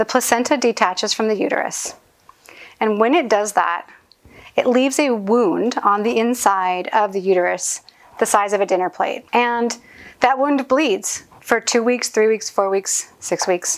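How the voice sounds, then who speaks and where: A woman with a plain, everyday voice speaks fairly slowly at a fairly high pitch, with ordinary pitch variation. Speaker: postpartum caregiver. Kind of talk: cooking tutorial. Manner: casual.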